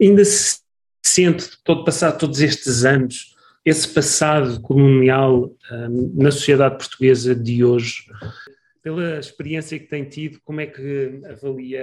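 An ordinary speaking voice with ordinary pitch variation at a fairly slow pace. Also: man, fairly high pitch for a man, big swings in loudness. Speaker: podcast host, academic. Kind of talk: interview conversation.

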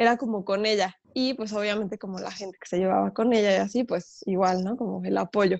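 Speaking with a central Mexican accent, a woman has a medium pitch and fairly even intonation. She goes at a fairly quick pace with hardly any pauses, and her loudness swings widely. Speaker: professional folk dancer. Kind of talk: interview.

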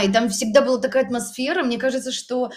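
A woman's somewhat breathy voice. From Belarus, Minsk region. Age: 30s. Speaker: photographer and artist. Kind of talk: casual chat. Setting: in an apartment. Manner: halting.

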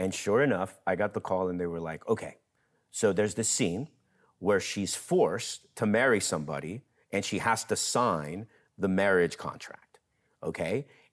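Moderate pace and ordinary pitch variation from a man with a plain, everyday voice pitched fairly low. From US, Mexican-American. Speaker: theater program director and actor. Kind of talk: interview conversation.

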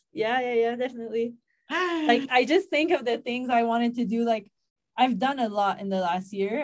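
The woman's pitch sits fairly high. She keeps a moderate pace with lively intonation. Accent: Quebec. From Quebec, Canada. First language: French. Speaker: yoga teacher and content creator. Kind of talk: casual chat.

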